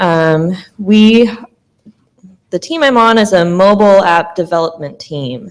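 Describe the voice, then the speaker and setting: With a Midwestern American accent, a woman speaks at a fairly slow pace in a medium pitch, her intonation lively and her pauses long and frequent. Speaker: business analyst. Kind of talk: panel talk.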